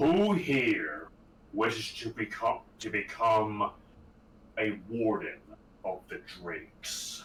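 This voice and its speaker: In a loud, put-on character voice at medium pitch, a man speaks very slowly with long, frequent pauses. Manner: commanding.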